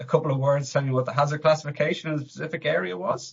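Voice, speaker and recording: A man speaks with an Irish accent. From Ireland, Dublin. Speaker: fire protection engineer. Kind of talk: podcast interview. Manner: hesitant, many fillers.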